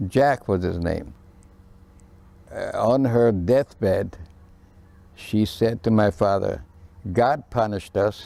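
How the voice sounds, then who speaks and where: On a very clean recording with a silent background, a man speaks very slowly at a medium pitch with ordinary pitch variation, long, frequent pauses and a dark, mellow tone. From Romania. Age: 80s+. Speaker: memoir narrator. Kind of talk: oral history testimony. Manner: halting, many hesitations.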